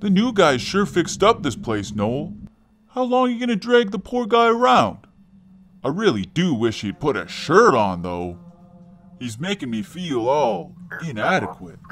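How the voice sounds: A man's cartoonish character voice, fairly high and swinging very widely in pitch, at a moderate pace with long, frequent pauses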